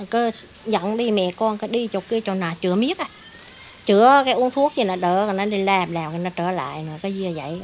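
Light background noise sits under the speech. The pitch varies in an ordinary way. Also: woman. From Vietnam. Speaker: mother of ill son, street vendor; interviewee, street vendor mother. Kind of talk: personal testimony. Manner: halting. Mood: earnest, recounting hardship. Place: garden. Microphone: handheld.

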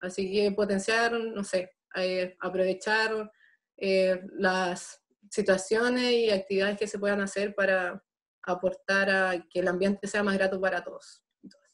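A woman talks at a fairly slow pace in monotone, flat intonation. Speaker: student election candidate; election candidate. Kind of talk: debate. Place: home room. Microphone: webcam.

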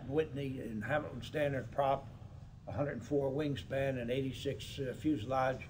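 Over light background noise, a man speaks in a somewhat breathy voice. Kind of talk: interview answer. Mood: calm reminiscing.

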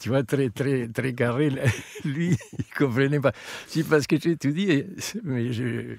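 Speaking very slowly with long, frequent pauses, a man holds a medium pitch. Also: ordinary pitch variation. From Argentina. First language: Spanish (speaking French). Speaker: opera tenor singer. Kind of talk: casual interview. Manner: halting.

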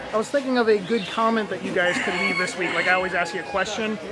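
A man projects his raised voice over crowd noise in the background. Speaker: video game collector vlogger. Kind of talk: casual vlog chat. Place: market. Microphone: phone near.

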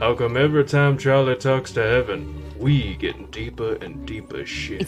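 A man speaks at a moderate pace in a put-on character voice, with clear music playing in the background. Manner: gruff, cynical.

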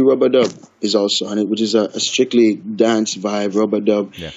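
Moderate pace, in a Jamaican accent. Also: man. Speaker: reggae artist. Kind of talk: interview. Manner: halting, repeats words.

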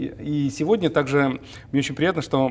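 Moderate pacing from a man with a fairly high voice. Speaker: TV talk show host. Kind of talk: interview. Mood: warm, smiling, friendly. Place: studio. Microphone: lapel.

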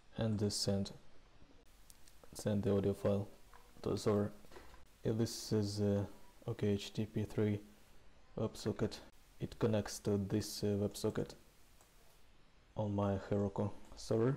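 A man's fairly low, dark, mellow voice in a flat monotone, fairly slow and broken by long, frequent pauses.

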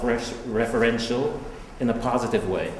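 A man's voice with audible room echo and light noise in the background. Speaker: introducer of the artist. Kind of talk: prepared introduction read aloud. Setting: art gallery with audience. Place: hall.

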